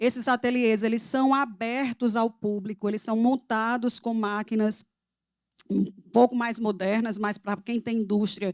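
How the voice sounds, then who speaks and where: With a Paraíba accent, a woman speaks fairly slowly in a fairly high, monotone voice with flat intonation, recorded dry and close with no echo. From Paraíba, northeastern Brazil. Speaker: public program coordinator, speaker. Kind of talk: talk. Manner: halting.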